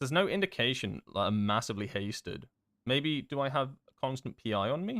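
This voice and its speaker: A man with a southern English accent talks at a fairly quick pace in a medium pitch, his loudness swinging widely. His pitch also swings very widely, and the sound is dry and close with no echo. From southern England, Devon. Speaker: game streamer. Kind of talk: live gameplay stream chat. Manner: casual, hesitant with fillers.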